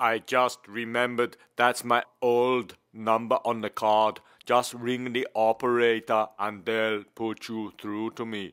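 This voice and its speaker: A man's put-on character voice at medium pitch, fairly slow and with hardly any pauses, in monotone, flat intonation. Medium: read story. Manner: terse, menacing.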